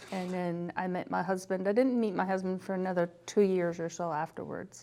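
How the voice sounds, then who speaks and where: At a fairly quick pace, a woman speaks in a medium pitch with a dark, mellow tone. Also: fairly even intonation. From Scotland. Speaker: entrepreneur and homeowner. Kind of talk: interview.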